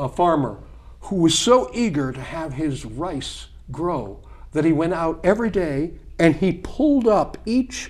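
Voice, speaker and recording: A man talks with very wide pitch swings. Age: 60s. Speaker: political candidate. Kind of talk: interview. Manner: animated.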